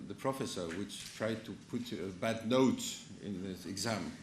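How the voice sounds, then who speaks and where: A man speaks in a French accent at a moderate pace with ordinary pitch variation. There is audible room echo. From France. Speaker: conference speaker, analyst. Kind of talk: conference talk. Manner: halting, many false starts.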